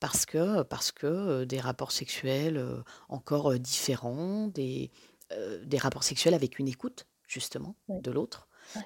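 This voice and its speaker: A woman's very deep, low voice at a very slow pace, with lively intonation, in dry, close sound with no echo. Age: 40s. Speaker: podcaster, former book publisher. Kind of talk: personal testimony interview. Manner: halting, many hesitations and repetitions.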